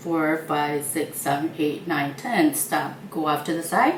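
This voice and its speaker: Noticeable background noise sits behind speech at a very slow pace. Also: woman. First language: not English. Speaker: baking channel host. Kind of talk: tutorial. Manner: hesitant, many fillers.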